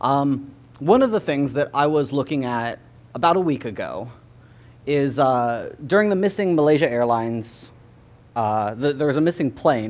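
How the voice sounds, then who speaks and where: In an American accent, a man speaks at a medium pitch. His intonation is lively. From California. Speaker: graduate student presenter. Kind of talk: public lecture. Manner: fast.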